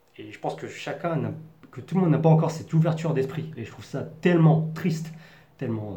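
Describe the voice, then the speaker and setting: Talking at a very fast pace with lively intonation, the speaker has a dark, mellow tone, vocal fry and a slight Parisian accent, with audible room echo. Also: man. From Paris region, France. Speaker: vlogger. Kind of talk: personal monologue.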